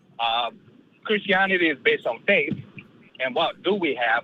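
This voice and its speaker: Here a man talks at a fairly quick pace. He has an Eastern European accent. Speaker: caller. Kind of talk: call-in debate.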